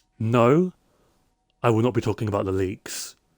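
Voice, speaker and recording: In a very clean recording with a silent background and a dry, close sound with no echo, a man with a British accent speaks at a moderate pace, with medium pitch and ordinary pitch variation. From UK. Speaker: Minecraft streamer. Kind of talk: casual live stream chat.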